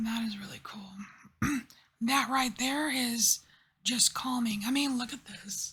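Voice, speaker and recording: Whispering and soft-spoken, the voice moves at a fairly slow pace. Long, frequent pauses break it up. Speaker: tarot reader. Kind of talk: tarot reading.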